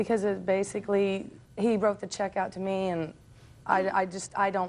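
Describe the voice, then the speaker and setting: This woman has an unremarkable speaking voice, a medium pitch and ordinary pitch variation. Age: 30s. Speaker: landscaper. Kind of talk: TV courtroom testimony.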